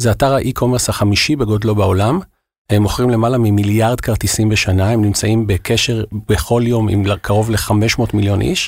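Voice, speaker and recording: This man has an ordinary speaking voice with a fairly low pitch, fairly even intonation and very even loudness at a moderate pace. The recording is very clean, with a silent background. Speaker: regional sales manager at a software company. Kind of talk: interview.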